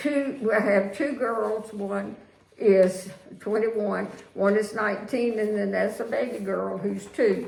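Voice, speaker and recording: A woman with a Virginia accent speaks at a medium pitch and a fairly slow pace. The recording carries audible room echo and noticeable background noise. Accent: Southern US (Virginia). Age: 80s+. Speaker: widow sharing life story. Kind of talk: interview. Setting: home. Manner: halting.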